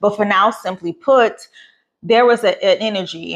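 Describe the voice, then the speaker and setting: A woman talks at a fairly quick pace. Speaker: podcast host. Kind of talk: casual spiritual talk. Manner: fast.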